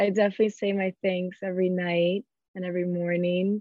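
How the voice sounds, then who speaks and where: This voice, in a Miami accent, holds a monotone, flat intonation. The pace is moderate. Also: woman. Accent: Miami American English. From US South, Miami. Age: 20s. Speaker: event planner. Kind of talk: casual interview.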